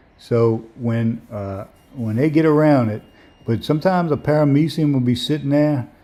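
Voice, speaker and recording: A man with a New Orleans accent speaks at a moderate pace in a relaxed, dark, mellow tone with ordinary pitch variation, on a very clean recording with a silent background. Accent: New Orleans Lower Ninth Ward. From New Orleans, Lower Ninth Ward. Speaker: amateur microscopist streamer. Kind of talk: live stream commentary. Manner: relaxed, casual.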